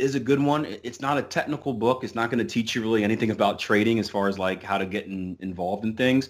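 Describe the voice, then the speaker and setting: A man with an American accent speaks at a fairly quick pace and a fairly low pitch, with ordinary pitch variation. The recording is very clean, with a silent background. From US, Philadelphia. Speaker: forex trader. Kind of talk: interview. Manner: halting, many fillers.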